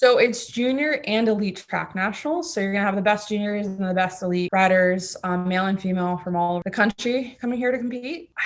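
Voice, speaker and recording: In a Florida accent, a woman speaks fairly quickly at medium pitch with ordinary pitch variation and hardly any pauses. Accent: American, Florida. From Florida, US (born in Germany, moved at six). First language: German. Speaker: track cyclist. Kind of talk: interview. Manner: casual, lots of fillers.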